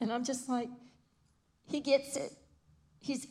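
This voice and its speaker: A woman's voice comes across as somewhat breathy. She keeps a moderate pace. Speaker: pastor's wife.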